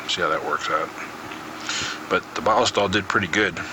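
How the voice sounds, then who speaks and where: A man talks at a moderate pace with noticeable noise behind him. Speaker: firearms channel host. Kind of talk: tutorial. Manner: halting, many fillers.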